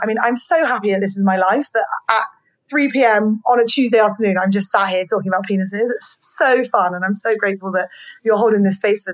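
The woman's pitch is fairly high. She talks with a British accent. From Britain. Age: 30s. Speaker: podcast host. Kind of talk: casual interview chat. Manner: animated.

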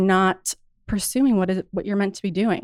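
Recorded very cleanly with a silent background, a woman speaks at medium pitch and a moderate pace. Her intonation is fairly even, and the sound is dry and close with no echo. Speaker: fitness instructor and studio founder. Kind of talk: casual interview chat. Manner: calm, relaxing.

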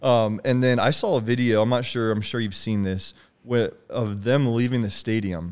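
A plain, everyday voice from a man, pitched in the middle range and fairly even in intonation. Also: moderate pace. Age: 20s. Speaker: podcast host. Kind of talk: casual chat.

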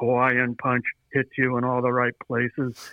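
Putting on a robotic character voice, a man speaks at medium pitch and a moderate pace with monotone, flat intonation. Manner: flat, mechanical jingle delivery.

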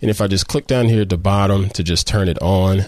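Upbeat and animated, a man speaks at a fairly low pitch. The background is quiet. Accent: Southern US. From US South. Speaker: photography podcast host. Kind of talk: tutorial. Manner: upbeat, animated.

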